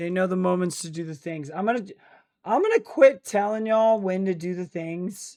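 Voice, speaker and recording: The voice has a dark, mellow tone and ordinary pitch variation, with big swings in loudness over a quiet background. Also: man, high pitch for a man, moderate pace. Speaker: streamer. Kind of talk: casual chat. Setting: live stream. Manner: relaxed.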